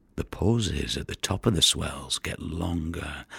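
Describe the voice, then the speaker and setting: A man speaks in an intense tone with vocal fry. The sound is dry and close, with no echo. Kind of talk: audio drama performance, dramatic monologue. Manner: gravelly, brooding, intense, with vivid poetic delivery.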